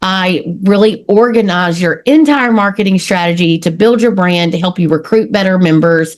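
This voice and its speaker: In an East Texas accent, the speaker talks at a moderate pace with an energetic tone, ordinary pitch variation and hardly any pauses. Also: woman, medium pitch for a woman. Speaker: marketing consultant. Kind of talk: podcast interview.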